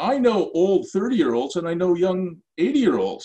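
A man's high-pitched voice carries a dark, mellow tone. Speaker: real estate developer and professor. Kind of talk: casual interview.

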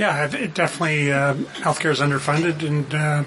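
With a Canadian accent, a man speaks at a moderate pace in a fairly high pitch, his intonation monotone and flat, over noticeable background noise. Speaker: political panelist. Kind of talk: casual panel discussion. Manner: halting, full of ums and uhs.

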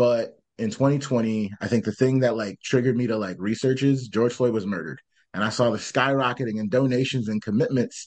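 Over a quiet background, a man with an American accent talks in a normal speaking voice at medium pitch, at a fairly quick pace with hardly any pauses and fairly even intonation. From Michigan. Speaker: startup founder. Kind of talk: casual chat.

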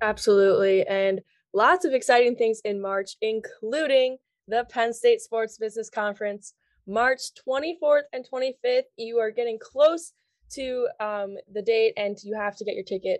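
Using an ordinary speaking voice, a woman with an American accent speaks at a fairly high pitch and moderate pace, with ordinary pitch variation, big swings in loudness, and a dry, close sound with no echo over a quiet background. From Long Island, New York. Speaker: student podcast co-host. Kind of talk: casual chat.

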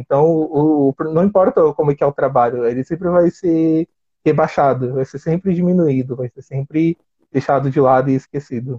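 At a moderate pace, a man's somewhat breathy, fairly high voice carries ordinary pitch variation. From Brazil, São Paulo. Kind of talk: interview conversation.

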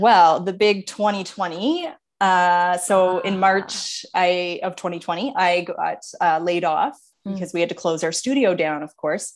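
Against a quiet background, a woman speaks at a fairly slow pace in a normal speaking voice. Her pitch is medium, with ordinary variation. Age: 30s. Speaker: dancer and dance teacher. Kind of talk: casual interview.

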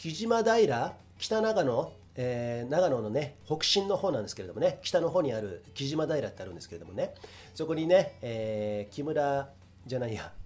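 Here a man speaks at a moderate pace with a fairly high pitch. His pitch swings very widely and his loudness shifts a lot. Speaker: podcast host. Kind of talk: casual solo talk. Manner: rambling, slightly slurred.

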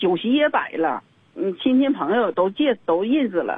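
A woman with a high pitch speaks in a Northeastern Chinese accent. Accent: Northeastern Mandarin. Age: 60s. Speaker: caller. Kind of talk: phone-in advice call.

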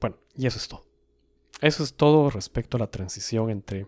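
A man speaks at medium pitch with ordinary pitch variation and a moderate pace. The sound is dry and close, with no echo. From South America. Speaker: podcast host. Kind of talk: solo educational podcast monologue. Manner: measured, explanatory.

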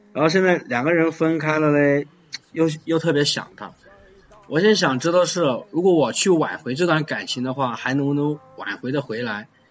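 With music in the background, a man speaks at a moderate pace, his fairly high pitch showing ordinary variation. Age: 20s. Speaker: caller seeking relationship advice. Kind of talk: phone-in advice call. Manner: halting, repeats words.

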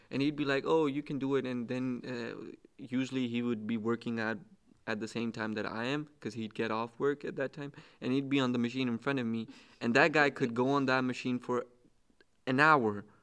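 A man with a normal speaking voice talks at a fairly quick pace, his pitch medium. His intonation stays fairly even against a quiet background. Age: 20s. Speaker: student, fitness enthusiast. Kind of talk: casual chat.

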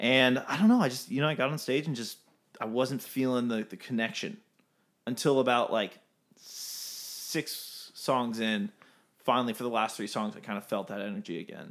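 A man speaks in an unremarkable speaking voice at medium pitch, with lively intonation and a moderate pace. The recording is very clean, with a silent background. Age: 20s. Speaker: band musician. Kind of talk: casual interview chat.

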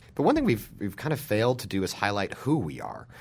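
The speaker has an American accent and vocal fry. Very wide pitch swings run through the delivery. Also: man. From Utah (small town). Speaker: journalist and press club president. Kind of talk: interview. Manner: halting, many fillers.

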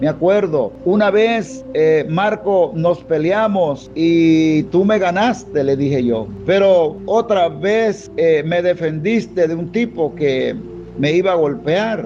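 A man speaks at a very slow pace in a high pitch, with lively intonation and hardly any pauses. Noticeable background noise runs underneath. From Panama. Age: 50s. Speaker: pastor. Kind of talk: sermon. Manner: hesitant, many fillers.

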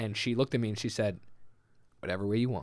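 With a Manitoban accent, a man talks in an animated tone at medium pitch, his pitch varying in an ordinary way. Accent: Canadian (Manitoba). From Winnipeg, Canada. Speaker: food podcast co-host. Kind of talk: casual chat. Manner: animated, laughing often.

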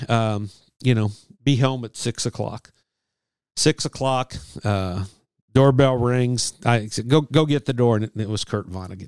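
A plain, everyday voice with ordinary pitch variation moves at a moderate pace, dry and close with no echo, on a very clean recording with a silent background. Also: man. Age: 60s. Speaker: sportswriter. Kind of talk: casual interview chat.

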